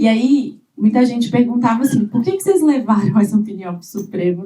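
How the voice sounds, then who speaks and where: A woman's somewhat breathy, dark, mellow voice, fairly high in pitch, with ordinary pitch variation and a fairly quick pace. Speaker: government digital rights official. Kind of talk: conference panel talk. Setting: conference panel with audience.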